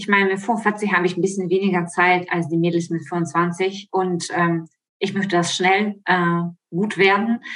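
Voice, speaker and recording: Her delivery is fairly slow and monotone, with flat intonation, as this woman talks at a medium pitch. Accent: Ukrainian. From Ukraine. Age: 40s. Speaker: model and coaching participant. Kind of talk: casual interview. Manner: hesitant with frequent fillers.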